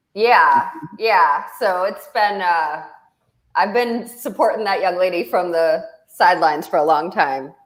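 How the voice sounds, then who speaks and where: In a room with audible echo, a woman of medium pitch speaks fairly slowly with lively intonation and very even loudness. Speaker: show host and venture investor. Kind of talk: casual chat.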